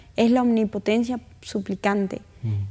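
A woman's fairly high-pitched voice in a dark, mellow tone at a moderate pace. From northern Argentina, Tucumán. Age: young. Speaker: interview guest. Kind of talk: interview. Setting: studio. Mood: warm, gentle, earnest. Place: studio. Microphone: lapel.

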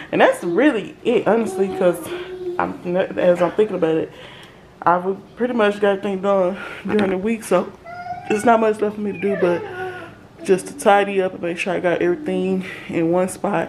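Against noticeable background noise, a woman talks at a moderate pace with ordinary pitch variation and long, frequent pauses. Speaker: mom vlogger. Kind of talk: casual vlog chat. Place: kitchen.

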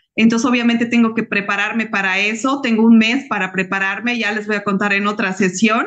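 Over a quiet background, a woman with a fairly high pitch speaks at a fairly quick pace with fairly even intonation. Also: hardly any pauses. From Bolivia. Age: 40s. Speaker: civil engineer and network marketing consultant; guest. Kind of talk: personal testimony. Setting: video call. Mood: warm, heartfelt. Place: home room. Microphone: video call.

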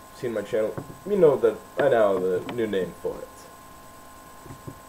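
A man speaks over light background noise. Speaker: vlogger reviewing anime. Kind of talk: casual vlog chat. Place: home room. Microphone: webcam.

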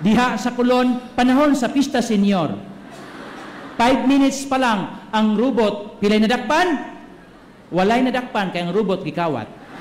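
A man speaks at a fairly slow pace in an extremely high pitch with an animated tone. Audible room echo and light background noise are present. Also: ordinary pitch variation. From Philippines. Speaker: priest giving homily. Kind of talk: homily at Mass, sermon with congregation call-and-response. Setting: church Mass with congregation. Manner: animated, humorous, joking with crowd, shouting call-outs, code-switching Cebuano-English. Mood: light anecdote, humorous. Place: church. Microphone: podium.

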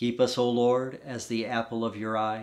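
With an American accent, a man speaks at a fairly slow pace in a warm tone with monotone, flat intonation against a quiet background. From US South. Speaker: Episcopal priest. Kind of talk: fervent intercessory prayer, led in a steady liturgical cadence. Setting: home, pre-recorded. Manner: earnest, warm, gently pleading; slow, measured, reverent. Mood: calm, solemn. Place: home room. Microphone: phone near.

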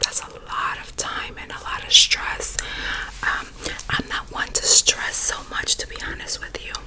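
Someone whispers, soft-spoken and fairly slow, over noticeable background noise. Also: woman. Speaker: ASMR YouTuber. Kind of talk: casual vlog chat. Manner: close soft whisper into microphone. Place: home room. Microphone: studio mic.

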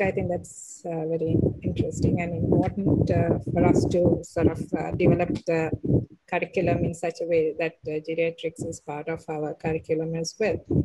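Noticeable background noise sits behind a woman's voice. She talks at a moderate pace in a fairly low pitch. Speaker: webinar moderator, doctor; webinar moderator. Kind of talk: Q&A moderation. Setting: video call. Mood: polite, appreciative. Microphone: video call.

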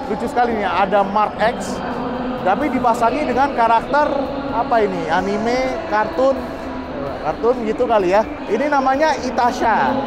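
Against loud background noise, a man talks at a moderate pace with ordinary pitch variation. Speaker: vlogger at car show. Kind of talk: casual vlog commentary. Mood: enthusiastic, impressed. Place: hall. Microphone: phone near.

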